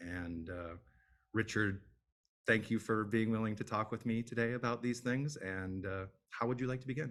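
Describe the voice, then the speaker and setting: A man with an American accent speaks in a normal speaking voice at a medium pitch. His pace is moderate and his pitch variation ordinary. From Michigan. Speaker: interviewer, information architect. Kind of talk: interview.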